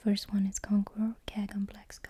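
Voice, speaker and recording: A soft-spoken voice moving at a fairly slow pace. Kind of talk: ASMR unboxing, soft-spoken talk to camera.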